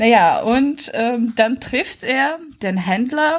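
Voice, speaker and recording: Speaking very slowly, a woman uses a high pitch with very wide pitch swings. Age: 20s. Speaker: author and blogger. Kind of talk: casual chat.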